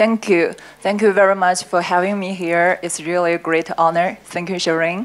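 With a Chinese accent, a woman talks at a moderate pace and medium pitch. Her intonation is monotone and flat. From China. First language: Mandarin Chinese. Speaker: sales operations director. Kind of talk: panel discussion. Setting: stage with audience. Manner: halting, hesitant in English. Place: hall. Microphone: handheld.

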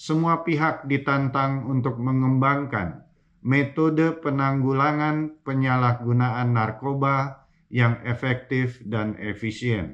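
Against a quiet background, a man speaks at a very slow pace with very even loudness and ordinary pitch variation. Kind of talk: formal recorded speech. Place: office.

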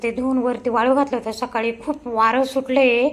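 A woman's voice, fairly high in pitch. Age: 50s. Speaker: vlogger and shop owner. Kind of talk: casual vlog narration.

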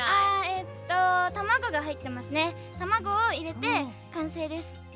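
Clear music plays in the background as a woman speaks at a fairly slow pace in a dry sound with no echo. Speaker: voice actor and radio personality. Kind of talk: casual radio mini-segment talk, improvised. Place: booth. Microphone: studio mic.

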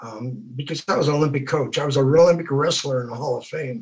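Against a quiet background, a man speaks with a fairly high, somewhat breathy voice and fairly even intonation. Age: 70s. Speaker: positive mental attitude teacher. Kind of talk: testimony. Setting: video call. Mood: earnest, faith-focused. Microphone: video call.

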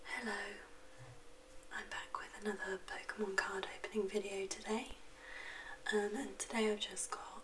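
A soft-spoken woman talks at a moderate pace in a fairly high voice, with long, frequent pauses. Light background noise is present. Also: fairly even intonation. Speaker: card opening hobbyist. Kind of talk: soft-spoken ASMR card opening. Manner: soft-spoken, quiet. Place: home room.

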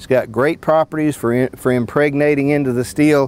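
The sound is dry with no echo as a man speaks at a moderate pace with fairly even intonation. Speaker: sawmill product demonstrator. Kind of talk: product demo explanation. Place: open country. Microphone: lapel.

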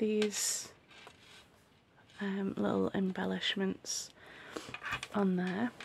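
Very slow, quiet speech with long, frequent pauses over noticeable background noise. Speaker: craft maker and shop owner. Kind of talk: casual show-and-tell tutorial. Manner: hushed, quiet; hesitant, many fillers.

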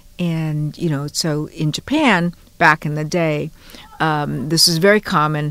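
A woman's very deep, low voice at a fairly slow pace, fairly even in intonation, dry with no echo. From Hawaii, Honolulu. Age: 70s. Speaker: journalist and educator. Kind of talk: interview storytelling. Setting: studio. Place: studio.

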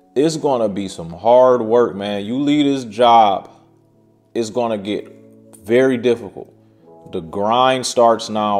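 A man talks with ordinary pitch variation while faint music sounds in the background. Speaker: self-employed creator. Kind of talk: casual advice vlog. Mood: earnest, cautionary. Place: home room.

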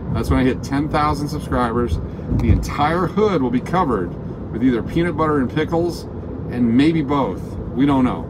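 A man's moderately paced speech comes through over loud background noise. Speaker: live-stream host driving. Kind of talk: casual live-stream chat. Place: car. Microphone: phone near.

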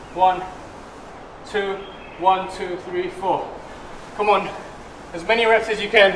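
Speaking fairly slowly with long, frequent pauses, a man uses a high, flat, monotone voice in a room with audible echo and light background noise. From Malaysia. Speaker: fitness instructor. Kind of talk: guided high-intensity workout class, barking cues and rep counts. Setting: home workout video, exercising on a mat. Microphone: camera far.

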